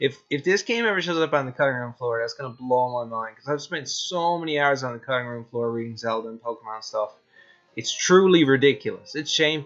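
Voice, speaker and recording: An ordinary speaking voice from a man, fairly high in pitch, with ordinary pitch variation and a fairly quick pace. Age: 20s. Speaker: indie game developer. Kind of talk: live stream chat, reading viewer questions. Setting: live stream. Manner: casual, filler-heavy.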